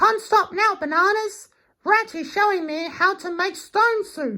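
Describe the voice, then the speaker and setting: Over a very clean recording with a silent background, a man puts on a squeaky character voice at an extremely high pitch and a fairly slow pace. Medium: read story. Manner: earnest, eager.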